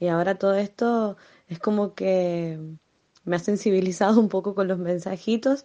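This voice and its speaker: The woman's voice has a dark, mellow tone and moves at a moderate pace. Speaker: community radio project coordinator. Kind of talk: voice messages, personal account. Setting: at home.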